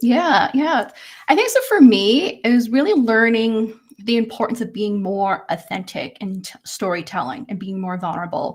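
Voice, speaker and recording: Speaking at a moderate pace, a woman with a fairly high pitch and a somewhat breathy voice uses lively intonation and big swings in loudness. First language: not English. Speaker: personal branding expert and speaker. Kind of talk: panel discussion on livestream.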